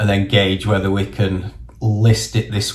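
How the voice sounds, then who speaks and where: Speaking in a northern English accent, a man has a fairly low pitch and a flat, monotone intonation. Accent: northern English twang. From northern England. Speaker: property investor and vlogger. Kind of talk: casual vlog monologue. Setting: in a car. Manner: casual, conversational.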